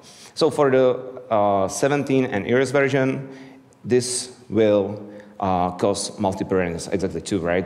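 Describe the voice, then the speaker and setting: With an Eastern European accent, a man speaks at a moderate pace with lively intonation, and the room echo is audible. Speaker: software developer, conference speaker. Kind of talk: conference talk. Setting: stage with audience.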